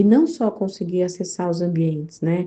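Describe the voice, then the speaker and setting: Moderate pace from a woman with a fairly low-pitched voice. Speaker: entrepreneurship network founder. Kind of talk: interview answer.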